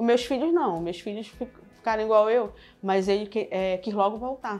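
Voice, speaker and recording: With faint music in the background, a woman with a northern Brazilian accent speaks at a fairly high pitch with ordinary pitch variation. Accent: northern Brazilian (Pará) Portuguese. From Pará, northern Brazil. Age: 40s. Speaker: shop owner. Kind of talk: interview answer. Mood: warm, reflective. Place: shop. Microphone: lapel.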